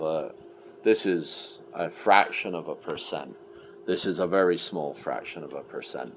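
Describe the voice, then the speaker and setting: Over noticeable background noise comes a man's very deep, low voice. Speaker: political commentator. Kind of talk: monologue rant. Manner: animated.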